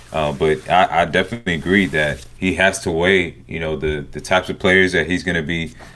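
Someone with a Southern US accent talks at a fairly quick pace in a very clean recording over a silent background. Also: man. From US South. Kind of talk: casual sports podcast discussion. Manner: enthusiastic, animated.

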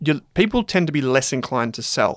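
A man with an Australian accent, recorded dry and close with no echo, very clean against a silent background. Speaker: finance podcast host and company founder. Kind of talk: casual debate discussion.

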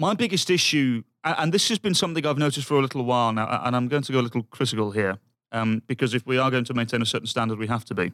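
A man with a British accent talks very fast at a medium pitch with lively intonation. The sound is dry and close, with no echo. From United Kingdom. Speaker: football pundit. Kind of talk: casual chat.

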